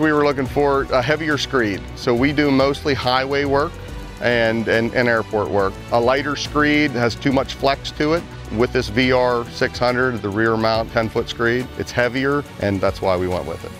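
Against clear background music, a man talks with ordinary pitch variation in a dry sound with no echo. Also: moderate pace. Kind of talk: interview answer. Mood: calm, positive. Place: open country.

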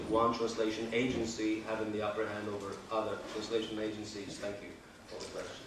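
Audible room echo surrounds a man's fairly low, fairly bright voice. He speaks fairly quickly in a flat monotone.

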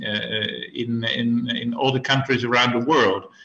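A medium-pitched male voice with a Dutch accent. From Netherlands. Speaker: beer historian. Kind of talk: interview. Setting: remote call.

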